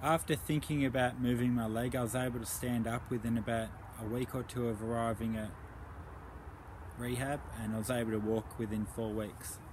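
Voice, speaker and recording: Somewhat breathy, this man's voice sits at medium pitch. He talks at a fairly quick pace. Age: 30s. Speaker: stroke survivor vlogger. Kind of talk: personal testimony. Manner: hesitant, with fillers.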